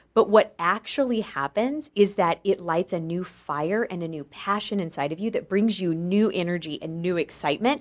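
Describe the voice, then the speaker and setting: A woman speaks in a normal speaking voice at medium pitch, moderate pace and with lively intonation, hardly pausing. The recording is very clean, with a silent background. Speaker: podcast co-host. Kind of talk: casual chat.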